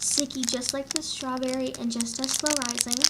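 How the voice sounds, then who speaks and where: A woman's high-pitched voice at a moderate pace, over noticeable background noise. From Canada. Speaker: squishy collector and unboxing vlogger. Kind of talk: casual unboxing talk to camera.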